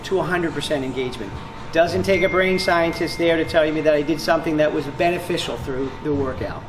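Music can be heard behind the voice. The speaker is a man. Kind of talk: interview answer. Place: gym.

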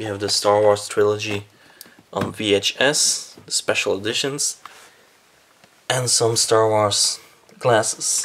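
A man with a Belgian accent at a very slow pace and fairly low pitch, with long, frequent pauses over light background noise. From Belgium. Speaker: movie collector, cinema projectionist, video blogger. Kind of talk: casual video tour. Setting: indoors at home, video recording in room. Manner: enthusiastic, slightly hesitant with repeated words. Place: home room. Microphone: phone near.

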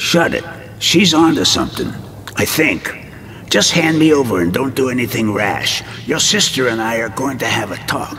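Over clear background noise, a man puts on a character voice at medium pitch and moderate pace.

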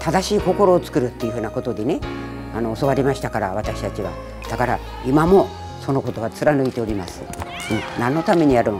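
Over clear music in the background, a woman with a very deep, low pitch talks at a very fast pace with very wide pitch swings and long, frequent pauses. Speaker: naginata federation chairwoman, retired teacher. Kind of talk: interview answer. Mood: calm, earnest, reflective. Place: gym. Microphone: lapel.

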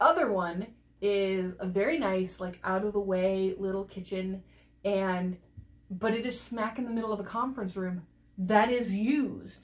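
Woman, moderate pace, ordinary pitch variation. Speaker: crafting video co-host. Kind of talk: casual vlog chat. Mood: cheerful, laughing. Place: home room.

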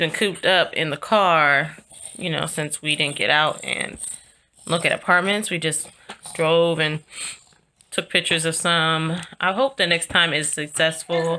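The tone is bright and sharp, delivered at a moderate pace with ordinary pitch variation. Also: woman. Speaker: mother vlogger. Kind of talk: casual vlog chat. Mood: relaxed, warm. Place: home room. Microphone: phone near.

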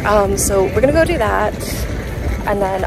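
Clear music plays behind a woman speaking at a fairly quick pace. The sound is dry, with no echo. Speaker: travel vlogger. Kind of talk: casual vlog chat. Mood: cheerful, slightly worn out. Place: waterside. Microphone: phone near.

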